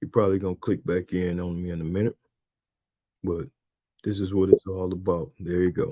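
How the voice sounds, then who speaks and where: A man with an American accent speaks in a very deep, low voice with a dark, mellow tone and fairly even intonation. His pace is fairly quick, broken by long, frequent pauses. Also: quiet background. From Michigan, Saginaw. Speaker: podcast host, basketball coach. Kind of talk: casual interview chat. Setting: live stream.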